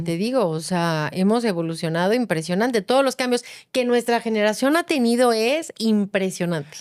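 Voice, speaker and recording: In an unremarkable speaking voice, a woman talks at a moderate pace and a fairly high pitch with lively intonation and hardly any pauses, on a very clean recording with a silent background. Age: 50s. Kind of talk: casual podcast conversation.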